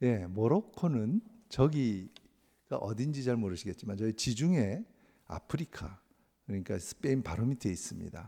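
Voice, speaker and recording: With a dark, mellow tone and medium pitch, a man speaks at a fairly slow pace with lively intonation. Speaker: missionary. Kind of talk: sermon with mission report.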